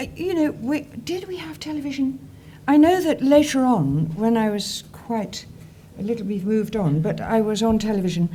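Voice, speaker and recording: In an audible room echo, a woman with a southern English accent speaks at a fairly high pitch with very wide pitch swings. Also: moderate pace. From southern England. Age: 70s. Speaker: actress. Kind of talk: interview. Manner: animated.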